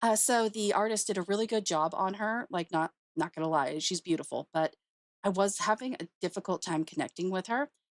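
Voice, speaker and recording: A woman with a medium-pitched voice speaks at a fairly quick pace with lively intonation, recorded very cleanly against a silent background with a dry, close sound and no echo. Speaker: streamer and artist. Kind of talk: casual chat. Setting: live stream. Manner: chatty.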